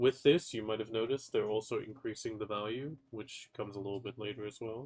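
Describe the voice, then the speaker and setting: Delivery comes at a very fast pace with fairly even intonation. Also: man, medium pitch for a man. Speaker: gaming content creator. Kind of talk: patch notes commentary. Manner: casual, conversational.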